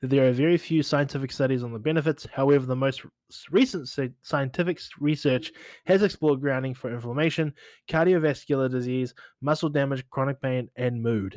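A man at a moderate pace with ordinary pitch variation, on a very clean recording against a silent background. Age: 30s. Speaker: podcast host, social media marketer. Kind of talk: casual solo podcast talk. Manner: animated.

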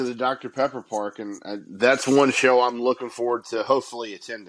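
Here is a man with an ordinary speaking voice, medium in pitch, moving at a fairly quick pace with fairly even intonation. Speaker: podcast host. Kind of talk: casual chat.

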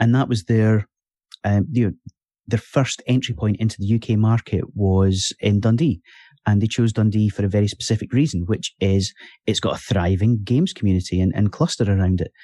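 A man with a Scottish accent, fairly low-pitched, with a dark, mellow tone, a fairly quick pace, very even loudness and a quiet background. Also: ordinary pitch variation, dry, close sound with no echo. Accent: Scottish (Fife). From Scotland, Fife. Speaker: podcast host. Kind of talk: casual chat.

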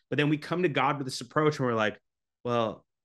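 A man with a Canadian accent and ordinary pitch variation, over a quiet background. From Canada. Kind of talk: casual interview chat. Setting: video call. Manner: energetic.

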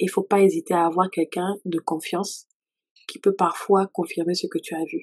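In a dry, close recording with no echo, a woman with an ordinary speaking voice talks at medium pitch with fairly even intonation. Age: 30s. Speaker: worship leader and author. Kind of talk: testimony.

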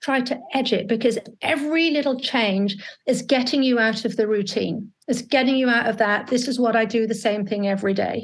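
The speech moves at a fairly quick pace with ordinary pitch variation. Its loudness stays very even. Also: woman, fairly high pitch for a woman. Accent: British. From UK. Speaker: alcohol coach. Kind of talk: interview. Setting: video call.

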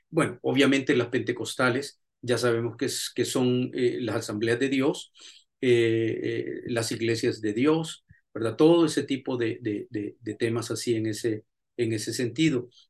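Somewhat breathy delivery, fairly slow, with fairly even intonation. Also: man, medium pitch for a man. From El Salvador, raised mostly in the USA. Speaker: pastor and theology professor. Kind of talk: lecture.

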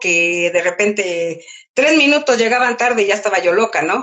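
A woman speaks in an ordinary speaking voice at a fairly slow pace, her intonation lively. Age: 60s. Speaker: mother and grandmother, former shop owner. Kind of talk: casual interview.

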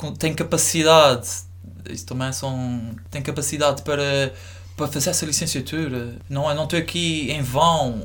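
A man at a fairly high pitch and moderate pace, with audible room echo. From Azores, São Miguel island (north coast). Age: 20s. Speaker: university student. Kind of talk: casual chat.

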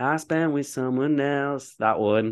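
A medium-pitched man's voice with a Yorkshire accent and ordinary pitch variation against a quiet background. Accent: Yorkshire, northern English. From Leeds, northern England. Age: 20s. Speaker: podcast host. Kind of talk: casual chat. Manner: casual, joking.

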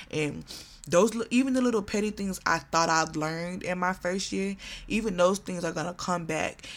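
The delivery runs at a fairly quick pace with ordinary pitch variation. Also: woman. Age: 20s. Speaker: podcast host. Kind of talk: casual monologue. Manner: animated.

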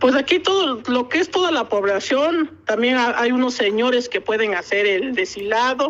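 Pitched high, a woman speaks at a fairly slow pace. Her intonation is lively. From Oaxaca, Mexico (Ocotlán). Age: 40s. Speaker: textile artisan. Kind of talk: interview.

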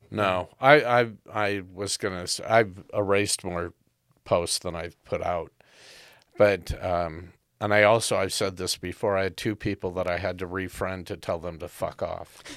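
An ordinary speaking voice at a moderate pace, with fairly even intonation, in a very clean recording with a silent background. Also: man, fairly low pitch for a man. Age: 60s. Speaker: podcast host. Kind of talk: casual chat.

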